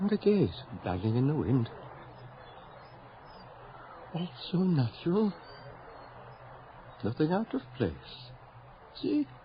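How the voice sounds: In a put-on character voice of fairly high pitch, a man talks slowly with long, frequent pauses and very wide pitch swings.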